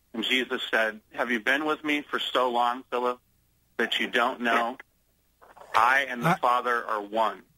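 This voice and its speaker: A plain, everyday voice from a man with an American accent, medium pitch and fairly even intonation. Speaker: pastor. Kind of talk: radio interview.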